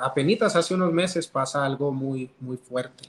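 A man with a normal speaking voice, fairly high in pitch, at a fairly slow pace and with ordinary pitch variation. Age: 30s. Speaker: loan officer sharing marriage testimony. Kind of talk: testimony.

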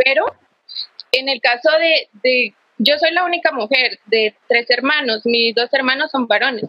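At a fairly slow pace, the voice holds very even loudness with ordinary pitch variation. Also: woman, high pitch for a woman. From Guatemala, Quetzaltenango. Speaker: workshop participant. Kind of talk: testimony. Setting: video call. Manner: halting.

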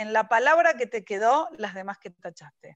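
Recorded with a dry, close sound and no echo, a woman talks at a moderate pace with lively intonation. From Argentina, Buenos Aires. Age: 40s. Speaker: writer. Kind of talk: interview. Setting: video call.

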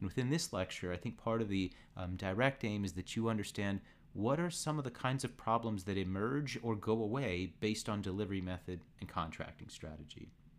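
This is an ordinary speaking voice. It moves at a fairly quick pace with lively intonation. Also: man. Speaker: university professor. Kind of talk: casual course podcast.

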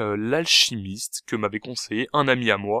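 The recording is very clean, with a silent background. The tone is bright and sharp. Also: man, dry, close sound with no echo. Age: 20s. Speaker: podcast host. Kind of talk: solo monologue. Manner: hesitant, many fillers; casual.

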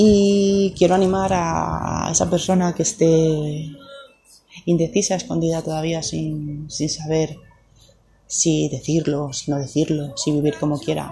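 With noticeable background noise, a woman speaks very slowly in a very deep, low pitch and ordinary pitch variation. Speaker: podcaster. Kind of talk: personal story monologue.

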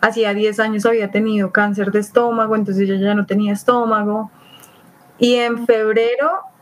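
Moderate pace from a woman with a fairly high pitch, plus noticeable background noise. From Colombia, Bogotá. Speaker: traveler. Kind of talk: casual chat.

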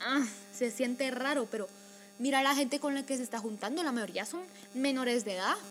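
A woman's voice is high in pitch, with ordinary pitch variation. Noticeable background noise comes through. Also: fairly quick pace. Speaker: podcast co-host. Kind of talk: casual chat.

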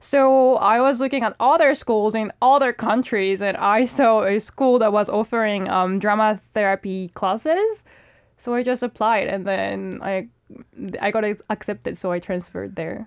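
A woman with a French accent speaks at a moderate pace and fairly high pitch with ordinary pitch variation, her voice dry and close with no echo on a very clean recording with a silent background. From France. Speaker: model and actress. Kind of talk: casual radio interview. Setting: radio studio.

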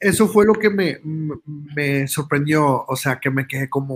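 With a northern Mexican accent, a man speaks at a fairly high pitch in a somewhat breathy voice. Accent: northern Mexican (Monterrey-like) Spanish. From United States, Mexican parents from Tamaulipas. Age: young. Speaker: social media influencer and musician. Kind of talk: casual interview.

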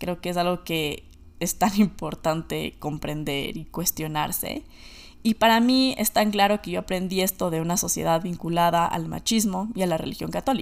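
On a very clean recording with a silent background, a woman speaks at a moderate pace. Hers is an unremarkable speaking voice, fairly low, with ordinary pitch variation. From Ecuador. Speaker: podcast host. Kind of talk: solo monologue podcast.

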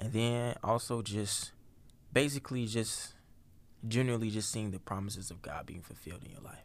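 This is a man with a plain, everyday voice and a medium pitch. He talks at a moderate pace with fairly even intonation. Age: young. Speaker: podcast co-host. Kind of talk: casual chat.

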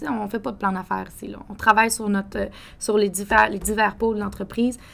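A woman at a medium pitch, monotone and flat in intonation, with a fairly quick pace. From Quebec City, Quebec. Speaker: coffee entrepreneur. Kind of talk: interview.

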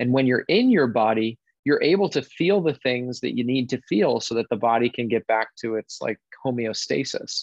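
A man with a plain, everyday voice, an American accent, medium pitch, moderate pace and ordinary pitch variation. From Connecticut. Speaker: wellness facilitator. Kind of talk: interview.

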